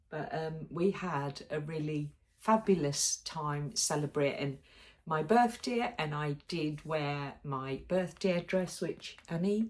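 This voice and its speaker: The speaker is a woman, going very slowly. Her pitch moves in an ordinary way. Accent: British. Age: 60s. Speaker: sewing vlogger. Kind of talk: casual vlog chat. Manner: chatty, with frequent ums.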